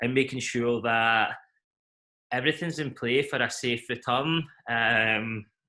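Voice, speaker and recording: A man with a Scottish accent speaks at a medium pitch in a bright, sharp tone, fairly slowly and with fairly even intonation. He leaves long, frequent pauses, and the recording is very clean with a silent background. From Scotland, Glasgow. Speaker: event company CEO. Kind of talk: interview.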